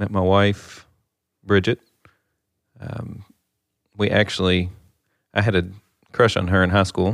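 A man speaks with a Kentucky accent, fairly low in pitch and monotone, flat in intonation. He goes at a fairly slow pace with long, frequent pauses. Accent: Kentucky Southern. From western Kentucky. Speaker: bank executive. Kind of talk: casual chat. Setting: studio.

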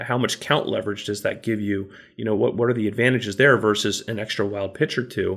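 A man's plain, everyday voice at a fairly quick pace with ordinary pitch variation, on a very clean recording with a silent background. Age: 40s. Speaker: baseball podcast co-host. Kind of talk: casual chat.

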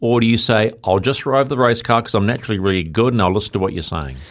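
A man's pitch rises and falls in an ordinary way. The audio is very clean, and the background is silent. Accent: New Zealand. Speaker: motorsport radio host. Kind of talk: casual studio interview. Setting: studio. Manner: animated, chatty.

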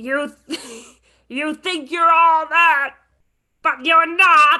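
A put-on character voice with a high pitch. The pace is very slow. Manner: taunting.

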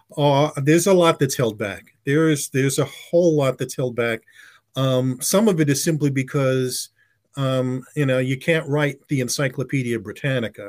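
A man with an American accent, fairly high pitch for a man, an unremarkable speaking voice, ordinary pitch variation and a moderate pace, on a very clean recording with a silent background. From US, West Indian family. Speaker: advertising executive and author. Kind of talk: interview.

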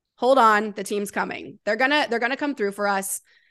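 Fairly high female voice with ordinary pitch movement over a quiet background. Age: 30s. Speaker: sports podcast host. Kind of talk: casual chat.

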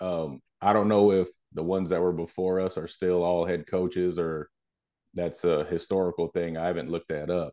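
Here a man speaks with a very deep, low pitch. His pace is fairly quick. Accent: American. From El Paso, Texas. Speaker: high school football coach. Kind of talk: podcast interview.

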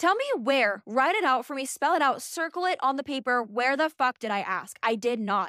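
This woman speaks at a moderate pace in a high, raised, projected voice, with an animated tone, lively intonation and hardly any pauses. The sound is dry and close with no echo, on a very clean recording over a silent background. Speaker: podcast host. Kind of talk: casual solo monologue. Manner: loud.

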